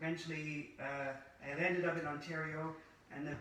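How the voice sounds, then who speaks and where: Noticeable background noise and audible room echo surround a man's voice. His pitch is fairly high, his intonation monotone and flat, and his pace moderate. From Scotland. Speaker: former pharmacist turned holistic practitioner. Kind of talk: interview. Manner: hesitant, with frequent uh fillers.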